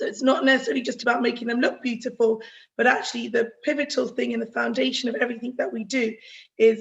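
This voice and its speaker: A woman's high-pitched voice with fairly even intonation. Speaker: dentist giving a health talk. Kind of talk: online health talk. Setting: video call. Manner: fast.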